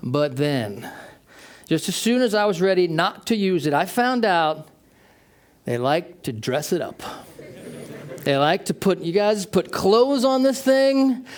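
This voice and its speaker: This man talks at a fairly slow pace in a high voice, leaving long, frequent pauses. His pitch swings very widely. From United States. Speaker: tech company manager, keynote speaker. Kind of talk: keynote talk.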